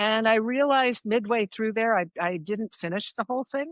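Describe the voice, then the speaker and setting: A woman with an American accent has a normal speaking voice at medium pitch. Her intonation is lively and her pace moderate. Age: 60s. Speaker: long-distance hiker. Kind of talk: casual interview chat. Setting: remote call.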